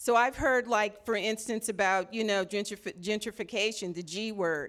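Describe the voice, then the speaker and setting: This is an unremarkable speaking voice, a woman's, fairly high in pitch with an American accent. Her pitch varies in an ordinary way, and the recording is very clean with a silent background. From Los Angeles (Watts). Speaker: art gallery director and former teacher. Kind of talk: panel discussion. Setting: live event with audience in art gallery.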